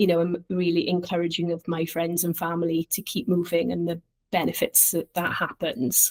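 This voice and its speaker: With a Welsh accent, a woman speaks at a moderate pace in a fairly low pitch and fairly even intonation, the sound dry and close with no echo. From Wales, Llantrisant. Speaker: charity director. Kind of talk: casual interview. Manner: halting.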